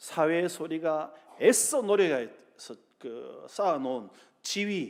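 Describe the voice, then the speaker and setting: The man's pitch is high. He speaks at a very slow pace. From South Korea, Busan. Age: 60s. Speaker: pastor. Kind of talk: sermon. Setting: church.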